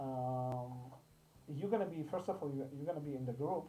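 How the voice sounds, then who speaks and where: Words come at a moderate pace. The voice carries a non-native accent. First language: not English. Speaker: crypto investment channel host. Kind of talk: tutorial. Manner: halting.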